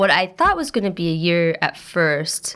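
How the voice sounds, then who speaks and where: A woman with an American accent, an ordinary speaking voice, medium pitch, lively intonation and a moderate pace. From rural eastern Oregon. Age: 20s. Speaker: first-year PhD student. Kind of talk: casual interview.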